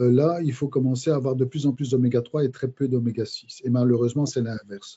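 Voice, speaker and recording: At a fairly quick pace, a man speaks in a somewhat breathy voice with fairly even intonation. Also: medium pitch for a man. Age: 60s. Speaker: biochemist and micronutrition specialist. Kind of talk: podcast interview. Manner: halting, many hesitations.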